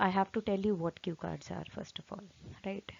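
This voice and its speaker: A woman with an Indian accent speaks with fairly even intonation. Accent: Hindi-accented English. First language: Hindi. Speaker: English exam teacher. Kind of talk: tutorial. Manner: hesitant, many fillers.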